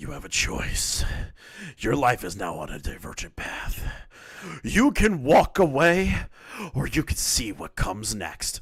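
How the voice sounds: A man's menacing, put-on character voice at a fairly slow pace, with long, frequent pauses and big swings in loudness.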